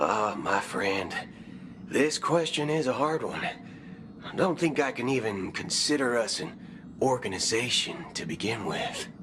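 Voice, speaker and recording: Against clear background noise, a man drawls in a put-on character voice at a medium pitch and fairly slow pace. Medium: video game. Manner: folksy, drawling, swears with substitute words.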